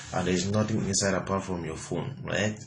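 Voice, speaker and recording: Audible room echo carries the man's speech, with noticeable background noise behind it. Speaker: motivational speaker. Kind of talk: motivational talk.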